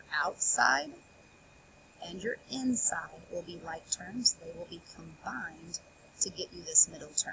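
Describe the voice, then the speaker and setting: The woman's pace is fairly slow. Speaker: math teacher. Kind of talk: tutorial.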